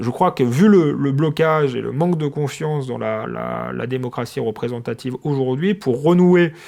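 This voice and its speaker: The speech unfolds at a fairly slow pace with ordinary pitch variation. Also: man. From France, Seine-Saint-Denis (Paris suburbs). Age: 30s. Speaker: journalist. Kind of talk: interview. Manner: halting, many fillers and repetitions.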